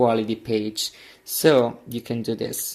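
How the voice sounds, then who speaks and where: At a very slow pace, a man speaks with an Italian accent. His pitch is medium. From Italy. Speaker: printer repair youtuber. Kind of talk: tutorial. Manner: halting, with many fillers.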